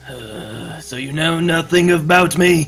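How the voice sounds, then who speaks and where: The put-on character voice is raspy and moves at a fairly slow pace. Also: man, fairly high pitch for a man. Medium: actual play. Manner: cool, questioning.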